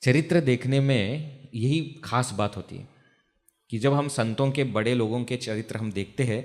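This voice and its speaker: With ordinary pitch variation, a man's voice sits at a medium pitch. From Maharashtra, India. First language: Marathi (speaking Hindi). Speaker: spiritual teacher, brahmachari monk. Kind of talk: religious discourse. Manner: conversational, asks audience questions.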